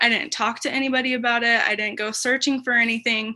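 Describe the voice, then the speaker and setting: A woman with an American accent speaks at a very fast pace in a bright, sharp tone. Her intonation is fairly even, and the background is quiet. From Utah, US. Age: 20s. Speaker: special education worker. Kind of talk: interview testimony.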